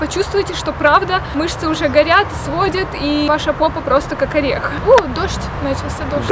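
A woman's voice in dry sound with no echo, amid noticeable background noise. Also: ordinary pitch variation, moderate pace. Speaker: fitness vlogger. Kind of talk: casual vlog chat. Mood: cheerful, warm. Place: forest.

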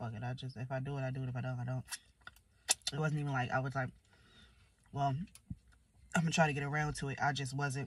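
A woman with a very deep, low pitch and a somewhat breathy voice speaks at a very fast pace in a monotone, flat intonation. The sound is dry with no echo, and there is light background noise. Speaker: vlogger. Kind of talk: casual vlog chat. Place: car. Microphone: phone near.

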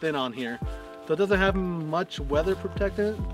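A man talks at a fairly quick pace in a dry recording with no echo, with clear music playing behind him. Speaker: camping vlogger. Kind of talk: casual vlog chat. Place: open country. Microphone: camera far.

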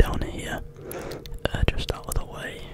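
Whispering and soft-spoken at a moderate pace, the voice has a dry sound with no echo under loud background noise. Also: man. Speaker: ASMR streamer. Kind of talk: casual vlog chat. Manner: soft close-mic whisper. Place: home room. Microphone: studio mic.

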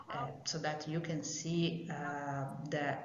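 A woman with an Italian accent speaks at a very deep, low pitch. Light background noise and audible room echo surround her voice. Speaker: geophysics professor. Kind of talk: recorded video presentation. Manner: formal, read aloud. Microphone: video call.

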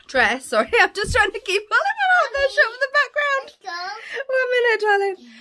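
The voice belongs to a woman. She speaks in a raised, projected voice. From England. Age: 30s. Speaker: family vlogger. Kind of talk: casual vlog to camera. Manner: animated.

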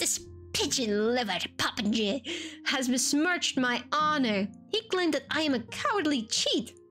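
Over clear music in the background, a female-sounding put-on character voice speaks at a moderate pace. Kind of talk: archaic courtly speech. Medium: game stream. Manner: indignant, pompous, old-fashioned insults.

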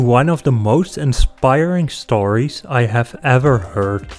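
A man talks at a fairly slow pace, his intonation lively. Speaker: channel narrator. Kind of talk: commentary.

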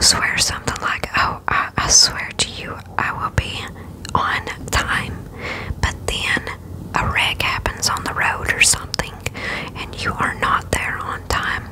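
A woman whispers at a fairly slow pace, leaving long, frequent pauses. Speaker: bible reading host. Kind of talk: soft-spoken scripture reading and explanation. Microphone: studio mic.

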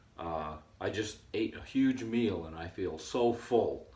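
The voice belongs to a man. The room around him gives audible echo. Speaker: herbalist video host. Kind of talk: tutorial.

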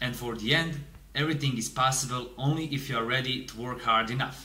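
A man with a Bosnian accent speaks fairly quickly with fairly even intonation, and room echo is audible. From Bosnia and Herzegovina. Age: 20s. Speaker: engineering student. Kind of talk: prepared self-introduction.

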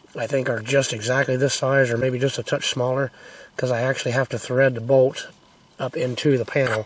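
Over light background noise, a man talks at a fairly quick pace in a monotone, flat intonation, the sound dry with no echo. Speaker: homesteader. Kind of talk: casual talk to camera. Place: open country. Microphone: phone near.

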